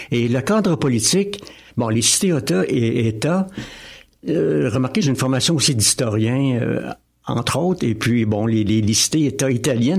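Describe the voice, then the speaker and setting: With lively intonation and very even loudness, a man speaks at a medium pitch and a fairly slow pace. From Quebec, Drummondville. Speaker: novelist and municipal councillor. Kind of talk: radio interview. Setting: studio. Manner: halting, repeats words.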